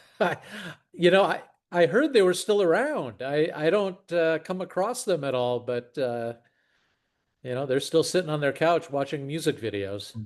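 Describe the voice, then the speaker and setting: An ordinary speaking voice with lively intonation keeps a moderate pace over a quiet background. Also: man, fairly high pitch for a man. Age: 60s. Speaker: podcast host and investor. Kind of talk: casual chat.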